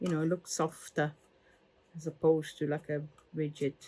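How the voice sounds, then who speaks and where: A woman speaks with an Italian accent. Her voice is fairly low. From Italy. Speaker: crafter. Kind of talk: tutorial. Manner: halting.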